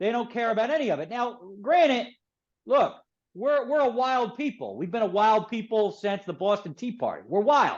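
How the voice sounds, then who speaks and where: Extremely high pitch from a man with a Philadelphia accent, lively intonation and a moderate pace, over a quiet background. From Philadelphia, US. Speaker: author and publisher. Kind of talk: interview. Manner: animated.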